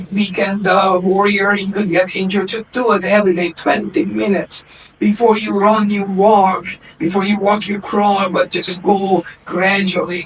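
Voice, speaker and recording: A man talks at a moderate pace with a high pitch and monotone, flat intonation. Noticeable background noise sits behind him. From Hungary, Budapest. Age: 60s. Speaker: naturopath. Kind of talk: interview. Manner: halting.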